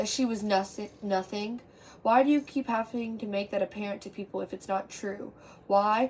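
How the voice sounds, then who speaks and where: A woman's voice comes through somewhat breathy. She speaks at a moderate pace. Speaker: amateur poet. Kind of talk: poetry reading. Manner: stutter.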